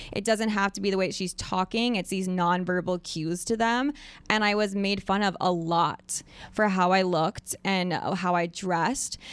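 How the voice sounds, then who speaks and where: Very clean recording, silent in the background, of a woman with an ordinary speaking voice. She speaks at a medium pitch and a moderate pace, her intonation fairly even. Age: 20s. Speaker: podcast host, former reality show contestant. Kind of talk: casual interview chat; podcast intro and outro monologue. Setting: office.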